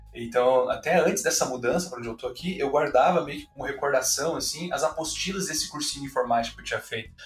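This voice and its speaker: Noticeable background noise runs under a man's fairly high-pitched voice with big swings in loudness. He talks very fast, with hardly any pauses. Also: ordinary pitch variation. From Brazil, Curitiba. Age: 30s. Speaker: university professor. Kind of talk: casual interview.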